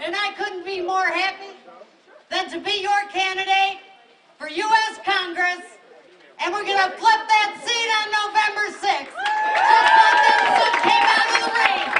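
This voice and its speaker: A woman's raised, projected voice at an extremely high pitch, with a Western New York accent, fairly slow pace and big swings in loudness, plus audible room echo and crowd noise in the background. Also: fairly even intonation. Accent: Western New York, others say she talks funny. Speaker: congressional candidate. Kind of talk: rally speech. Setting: outdoors.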